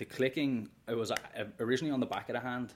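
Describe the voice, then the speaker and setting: This man's delivery is very fast, and his pitch varies in an ordinary way. Behind him the background is silent, on a very clean recording. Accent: Dublin. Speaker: menswear content creator. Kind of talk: casual interview chat.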